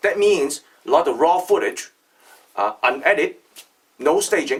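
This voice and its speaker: Lively intonation marks this man's speech. He keeps to a moderate pace. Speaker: artisan maker, video creator. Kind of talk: casual video introduction. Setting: factory workshop. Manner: loud.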